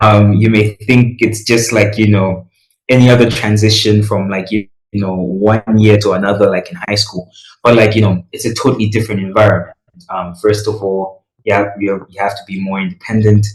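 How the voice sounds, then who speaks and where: Speaking at a moderate pace, a man sounds somewhat breathy. His pitch is fairly low and his intonation monotone and flat. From Malawi. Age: young. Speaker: recent high school graduate on gap year. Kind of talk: podcast interview. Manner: casual, many fillers.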